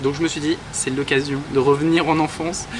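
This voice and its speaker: Against noticeable background noise, a man with a fairly high pitch speaks at a fairly quick pace in a monotone, flat intonation. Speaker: makeup artist vlogger. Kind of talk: casual vlog talk.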